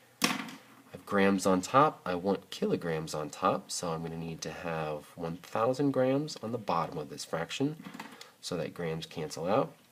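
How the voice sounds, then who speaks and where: Amid noticeable background noise, a man with a very deep, low pitch speaks at a fairly slow pace, his intonation lively and his loudness swinging widely. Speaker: math teacher. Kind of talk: video lesson tutorial.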